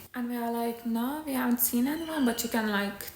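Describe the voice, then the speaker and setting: Over noticeable background noise, a soft-spoken voice moves at a fairly quick pace with ordinary pitch variation. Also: woman. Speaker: ASMR creator and aspiring actor. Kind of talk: ASMR storytime to camera. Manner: soft-spoken, chatty.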